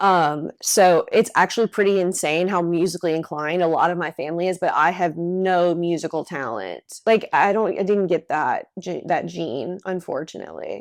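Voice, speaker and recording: The recording is very clean, with a silent background. A woman with a fairly low pitch talks at a moderate pace with ordinary pitch variation and hardly any pauses. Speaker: podcast co-host. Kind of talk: casual chat.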